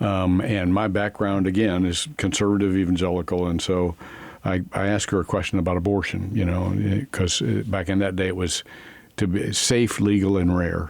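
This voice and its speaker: Over noticeable background noise, a man with a very deep, low pitch speaks at a moderate pace with very even loudness and fairly even intonation. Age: 70s. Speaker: pastor. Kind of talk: testimony. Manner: halting.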